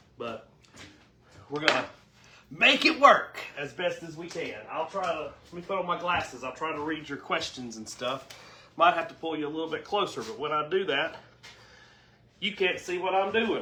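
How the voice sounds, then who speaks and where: Against noticeable background noise, a man speaks at a high pitch and a moderate pace, with ordinary pitch variation, big swings in loudness and long, frequent pauses. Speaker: cooking show host. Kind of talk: casual cooking livestream chat. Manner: chatty, folksy.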